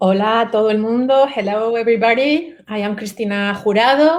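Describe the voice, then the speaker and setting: Moving at a moderate pace, the woman's speech shows ordinary pitch variation. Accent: Spanish. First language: Spanish. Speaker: author. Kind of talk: panel discussion.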